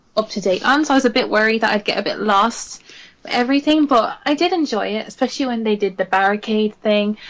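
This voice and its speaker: Speaking with an Irish accent, a woman has a fairly high pitch and ordinary pitch variation. Her pace is very fast. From Ireland. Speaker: podcast co-host. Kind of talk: casual chat.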